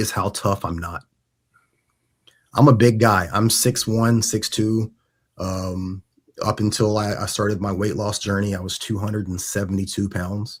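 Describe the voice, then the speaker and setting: Somewhat breathy and fairly low in pitch, a man talks at a moderate pace with fairly even intonation and long, frequent pauses in a very clean recording with a silent background. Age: 40s. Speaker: podcast host, Air Force veteran. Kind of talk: casual chat. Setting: in person. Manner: halting.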